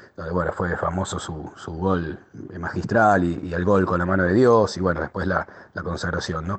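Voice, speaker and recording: Over noticeable background noise, a man speaks at a very deep, low pitch. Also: fairly even intonation, moderate pace. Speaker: contributor sharing memories. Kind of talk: recorded testimony.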